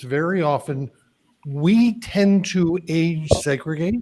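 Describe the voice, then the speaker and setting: Speaking at a very slow pace, a man has a high pitch with ordinary pitch variation. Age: 60s. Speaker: career coach and author. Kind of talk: live panel discussion. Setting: live stream.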